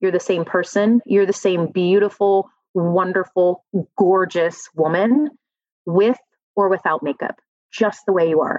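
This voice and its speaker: At a fairly slow pace, a woman with a medium pitch speaks with big swings in loudness. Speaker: corporate leader and dancer. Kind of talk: casual interview chat.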